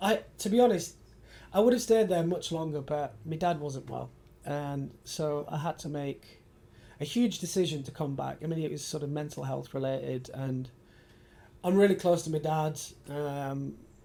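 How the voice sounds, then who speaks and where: In a northern English accent, a man speaks at a moderate pace with a dark, mellow tone. His voice is fairly high and varies in pitch in an ordinary way. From Yorkshire, northern England (Bradford). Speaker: architecture photographer. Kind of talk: casual interview chat.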